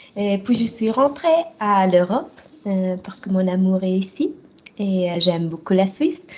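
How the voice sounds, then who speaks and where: A woman speaks at a medium pitch with a Swiss German accent. Her intonation is lively and her pace very slow. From German-speaking Switzerland, travelled widely. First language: Swiss German (speaking French). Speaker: professional wrestler. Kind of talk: interview. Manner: halting, many hesitations.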